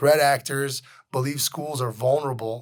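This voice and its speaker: A man's monotone, flat intonation comes at a fairly quick pace. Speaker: tech news show host. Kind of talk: news commentary. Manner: casual with fillers.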